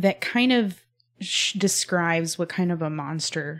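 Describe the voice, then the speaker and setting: The voice belongs to a woman with an American accent, an ordinary speaking voice at a fairly low pitch. She talks at a fairly slow pace. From Texas, Spring near Houston. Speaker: podcast host. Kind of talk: interview conversation.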